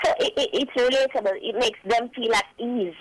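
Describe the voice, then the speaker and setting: A woman's fairly high voice with a Jamaican accent, over noticeable background noise. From rural Jamaica. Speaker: recent high school graduate. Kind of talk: radio interview.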